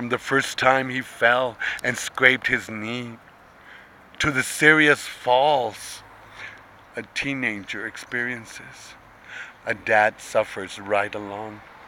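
A man's very slow speech with long, frequent pauses and fairly even intonation, dry with no echo, over light background noise. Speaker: poetry reader. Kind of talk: poetry reading. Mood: tender, proud. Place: street. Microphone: phone near.

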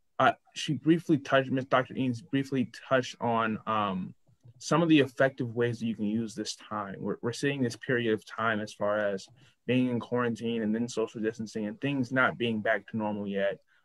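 A man with an American accent speaks at a moderate pace and medium pitch, with ordinary pitch variation and a quiet background. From US Midwest. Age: young. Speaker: student co-host. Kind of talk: panel discussion. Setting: video call. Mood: earnest, reflective. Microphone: video call.

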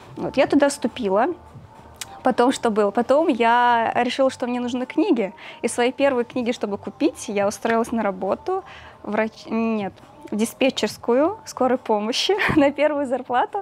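A woman's fairly high voice with a slightly mellow tone, lively intonation and a moderate pace.

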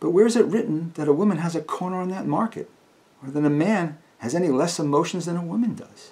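His voice sits high in pitch. The man also talks very fast. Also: ordinary pitch variation. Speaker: actor performing a monologue. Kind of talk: dramatic monologue. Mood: earnest, pleading, emotional. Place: home room.

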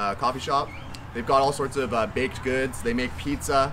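Someone talks at a very fast pace. Noticeable background noise is present. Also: man. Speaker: pizza reviewer. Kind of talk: casual vlog chat. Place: garden.

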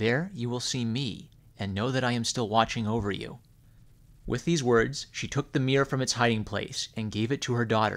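An unremarkable speaking voice moves at a moderate pace with ordinary pitch variation, recorded very cleanly against a silent background. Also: man, medium pitch for a man. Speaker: storyteller reading a fairy tale aloud on a gaming channel. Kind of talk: bedtime story reading aloud, scripted narration of a public-domain fairy tale. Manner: gentle, soothing, measured storyteller pacing.

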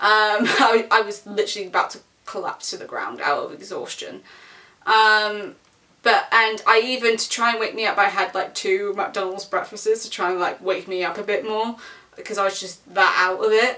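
A woman with a fairly high pitch speaks at a moderate pace in a bright, sharp tone, keeping her intonation fairly even. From England. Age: 20s. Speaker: vlogger. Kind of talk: casual vlog monologue. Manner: rambling with fillers. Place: home room. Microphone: camera far.

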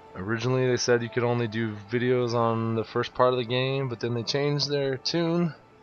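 With noticeable background noise behind him, a man talks in a medium pitch with fairly even intonation and hardly any pauses. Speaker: video game let's player. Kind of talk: casual gameplay commentary. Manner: casual, laid-back.

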